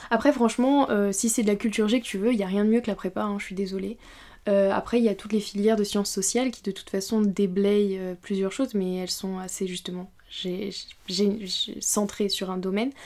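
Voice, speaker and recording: A woman's dark, mellow voice with fairly even intonation. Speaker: YouTuber. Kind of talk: casual Q&A talk to camera. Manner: hesitant, many fillers. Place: home room. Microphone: studio mic.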